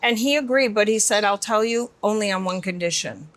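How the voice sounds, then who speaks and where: A woman with an American accent and an unremarkable speaking voice talks at a moderate pace with ordinary pitch variation. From Michigan, US. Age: 50s. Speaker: beauty company founder and CEO. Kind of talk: interview conversation.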